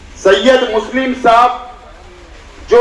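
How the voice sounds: Speaking fairly slowly with an audible room echo, a man uses an extremely high pitch and a fairly bright tone.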